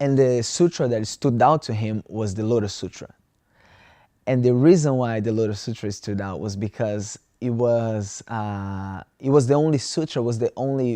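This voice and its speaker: In a Brazilian Portuguese accent, a man speaks at a moderate pace with a medium pitch, ordinary pitch variation and a dark, mellow tone, in a dry, close sound with no echo against a quiet background. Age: 20s. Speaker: student. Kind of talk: interview. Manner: halting.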